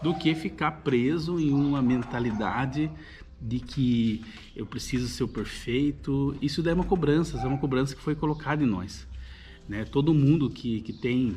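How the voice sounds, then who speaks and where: A man's somewhat breathy voice at a medium pitch. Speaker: YouTuber, personal development. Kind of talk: casual monologue to camera. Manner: halting, many repetitions and fillers.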